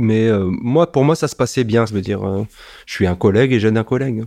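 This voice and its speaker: A man's dark, mellow voice at medium pitch and moderate pace, ordinary pitch variation, on a very clean recording with a silent background. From Strasbourg, Alsace, France. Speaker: former intelligence police officer. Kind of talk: testimony. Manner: conversational with frequent hesitations.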